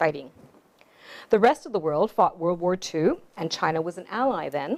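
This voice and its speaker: Speaking at a moderate pace with a Canadian accent, a woman keeps her intonation lively. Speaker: author. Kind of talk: storytelling talk.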